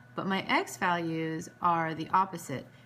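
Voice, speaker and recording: With a bright, sharp tone, a woman talks at a fairly low pitch. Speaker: math teacher. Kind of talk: tutorial. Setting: recording at home. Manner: hesitant, many fillers.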